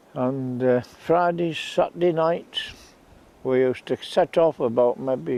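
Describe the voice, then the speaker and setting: With a Yorkshire accent, a man talks at a very slow pace in a dark, mellow tone. His intonation stays fairly even. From northern England, Scarborough, Yorkshire. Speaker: local storyteller. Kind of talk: reminiscing monologue.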